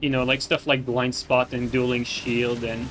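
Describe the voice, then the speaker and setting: Music plays in the background as a man with a non-native accent speaks at a moderate pace in a medium pitch. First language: not English. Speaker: gaming streamer. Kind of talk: live gameplay commentary. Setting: live stream. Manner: halting, many fillers.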